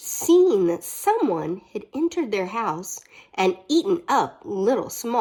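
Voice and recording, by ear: The text is read aloud in a natural voice.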